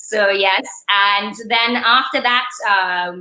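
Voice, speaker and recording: Her tone is bright and sharp as the woman speaks with ordinary pitch variation. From Saint Lucia. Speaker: attorney and events entrepreneur. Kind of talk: casual interview conversation. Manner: expressive, animated.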